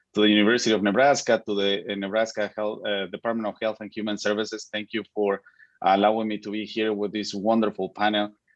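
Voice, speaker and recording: Speaking at a very fast pace, a man uses a monotone, flat intonation at a fairly low pitch. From Mexico. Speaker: physician and medical school dean. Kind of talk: panel introduction. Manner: formal.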